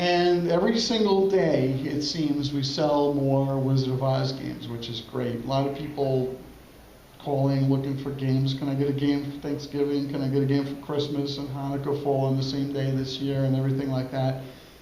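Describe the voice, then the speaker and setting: A man with an American accent, fairly high in pitch and fairly even in intonation, amid noticeable background noise and audible room echo. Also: moderate pace. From Brooklyn, New York. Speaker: pinball company owner. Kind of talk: conference presentation. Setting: stage with audience.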